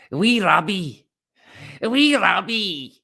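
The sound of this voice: Someone uses a put-on character voice with a Scottish accent and a fairly high pitch.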